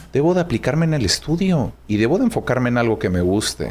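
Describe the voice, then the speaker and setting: Over noticeable background noise, a man talks fairly quickly with lively intonation. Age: 20s. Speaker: voice-over announcer. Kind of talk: casual interview.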